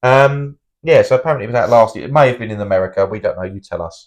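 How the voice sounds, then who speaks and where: Over a quiet background, a man with a British accent talks at a fairly quick pace. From UK. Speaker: film review podcast co-host. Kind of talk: casual chat. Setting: home recording.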